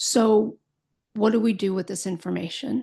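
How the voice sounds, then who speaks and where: A woman's fairly high, somewhat breathy voice with a dark, mellow tone, fairly slow pace and quiet background. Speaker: podcast host, Alzheimer's educator and caregiver. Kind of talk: educational podcast monologue. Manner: occasionally stumbling over words.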